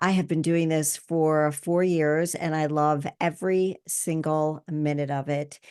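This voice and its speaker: A woman's fairly low, fairly slow voice, an unremarkable speaking voice, against a quiet background. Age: 60s. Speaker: podcast host. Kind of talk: podcast monologue.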